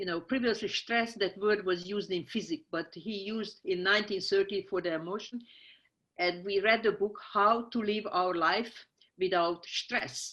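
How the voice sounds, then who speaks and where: Speech in a strong Hungarian accent moves at a moderate pace with ordinary pitch variation. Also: woman, medium pitch for a woman. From Hungary, small town. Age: 60s. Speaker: scientist. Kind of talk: interview. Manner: halting, many fillers.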